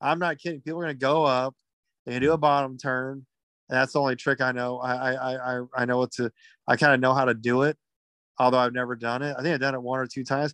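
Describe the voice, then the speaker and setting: A man with an American accent talks at a very fast pace in a medium pitch, monotone and flat, with a quiet background and a dry, close sound with no echo. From Texas, Houston. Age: 30s. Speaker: podcast co-host. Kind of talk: casual chat.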